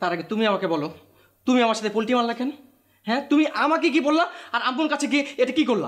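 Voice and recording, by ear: This is a put-on character voice with a fairly bright tone. It races at a very fast pace through big pitch swings. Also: man, extremely high pitch for a man.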